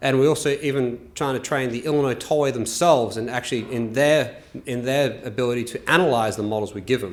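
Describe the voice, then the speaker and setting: A man with an Australian accent talks at a very fast pace and a medium pitch, with ordinary pitch variation, hardly any pauses and audible room echo. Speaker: transportation engineer. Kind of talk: conference presentation.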